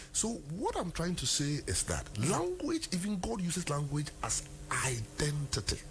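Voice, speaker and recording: A man at very even loudness, with noticeable background noise. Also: moderate pace. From Ghana (Asante). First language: Twi (Asante). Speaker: lawyer. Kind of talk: interview. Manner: animated.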